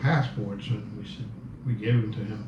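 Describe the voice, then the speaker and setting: Medium-pitched male speech with audible room echo and noticeable background noise. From Cuba, Havana. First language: Spanish. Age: 70s. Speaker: Cuban exile interviewee. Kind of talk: interview, personal recollection. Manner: hesitant, many fillers and repeats.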